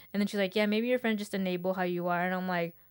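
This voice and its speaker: A woman mumbles her words. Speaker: podcast co-host. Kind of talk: casual chat. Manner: monotone; mumbling.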